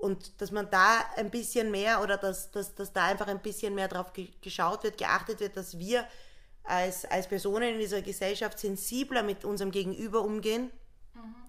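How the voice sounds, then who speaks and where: Her tone bright and sharp, a woman speaks at a medium pitch and a moderate pace with monotone, flat intonation. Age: 30s. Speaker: social worker running a shelter. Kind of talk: casual chat.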